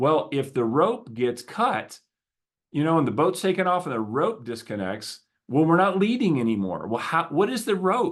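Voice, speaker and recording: With a slight Southern US accent, a man talks at a moderate pace against a quiet background, his pitch swinging very widely. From US South. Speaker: podcast host, business coach. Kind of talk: solo podcast talk. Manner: conversational, with some stammering repetitions.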